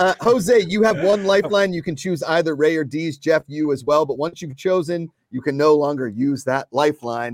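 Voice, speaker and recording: In a very clean recording with a silent background and a dry, close sound with no echo, a man with an ordinary speaking voice speaks at a moderate pace in a fairly high pitch, with lively intonation and hardly any pauses. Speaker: co-host. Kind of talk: casual chat.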